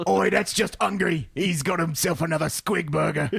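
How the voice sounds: Putting on a character voice, a man speaks with a high pitch at a moderate pace.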